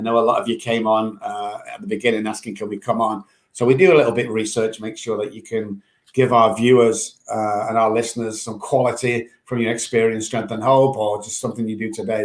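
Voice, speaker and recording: A man speaks at a medium pitch with an English accent. His pace is fairly quick. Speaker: podcast host, addiction doctor. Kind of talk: casual chat.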